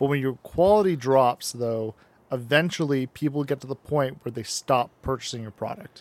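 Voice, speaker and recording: A man talks in an unremarkable speaking voice at medium pitch, with ordinary pitch variation and a moderate pace. The sound is dry and close, with no echo. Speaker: podcast co-host. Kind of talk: casual chat.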